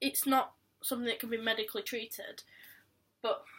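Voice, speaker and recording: A woman with a fairly high pitch and a bright, sharp tone keeps her intonation fairly even. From Yorkshire, England. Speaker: vlogger. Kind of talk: personal vlog.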